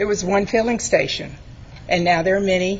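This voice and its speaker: A woman of medium pitch speaks in a shaky voice with fairly even intonation. Audible room echo and noticeable background noise are present. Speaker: resident speaking at public hearing. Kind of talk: public comment at council meeting. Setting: city council meeting.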